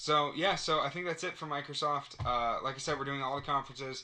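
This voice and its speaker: A man speaks in a fairly high pitch with a bright, sharp tone. The background is quiet. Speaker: gaming podcast host. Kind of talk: casual chat. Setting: studio around a table. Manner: fast.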